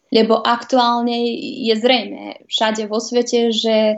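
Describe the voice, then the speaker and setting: The woman's intonation stays monotone and flat. Her voice is fairly high in pitch. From Vojvodina, Serbia (Novi Sad). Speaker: TV presenter and journalist. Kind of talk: interview.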